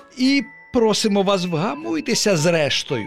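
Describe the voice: In a put-on character voice, a man talks at a fairly slow pace with a high pitch, vocal fry and big pitch swings, while faint music plays in the background.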